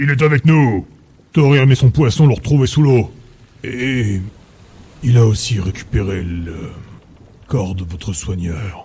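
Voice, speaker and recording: Using a put-on character voice, a man speaks at a fairly slow pace and medium pitch with lively intonation and long, frequent pauses. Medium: audio drama.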